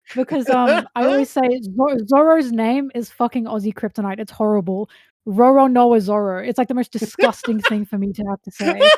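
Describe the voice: At a moderate pace, a woman with an Australian accent speaks at a fairly high pitch, in a dry, close recording with no echo. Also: ordinary pitch variation, very clean recording, silent background.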